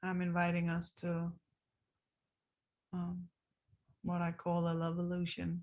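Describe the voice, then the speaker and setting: A woman speaks in a relaxed tone, somewhat breathy and fairly low, at a fairly slow pace with long, frequent pauses, flat monotone intonation and very even loudness. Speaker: dance teacher. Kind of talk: casual video diary. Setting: recorded on zoom after class. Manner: slow, relaxed.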